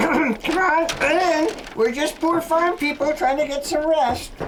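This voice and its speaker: A put-on character voice speaks at a fairly slow pace with very even loudness over clear background noise. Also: woman, high pitch for a woman. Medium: comedy sketch. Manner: deadpan, sly.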